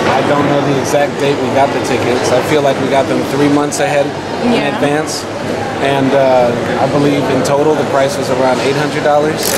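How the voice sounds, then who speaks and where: A man speaks fairly quickly as loud background noise fills the clip. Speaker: travel vlogger. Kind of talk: casual vlog chat. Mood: cheerful, smiling. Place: station.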